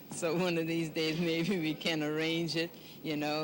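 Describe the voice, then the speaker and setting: In a New Orleans accent, a woman speaks at a moderate pace in a very deep, low voice. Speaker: senior center president. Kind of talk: casual interview.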